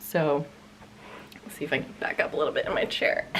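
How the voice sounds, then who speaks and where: Her voice sits very deep and low. The speaker is a woman. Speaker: knitting podcaster. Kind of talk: casual chat. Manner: casual with fillers.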